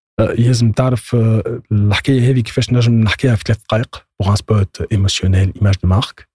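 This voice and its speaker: Dry and close with no echo, a man's somewhat breathy voice has a dark, mellow tone, medium pitch, fairly even intonation, very even loudness and a fairly quick pace. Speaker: copywriter. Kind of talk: casual chat.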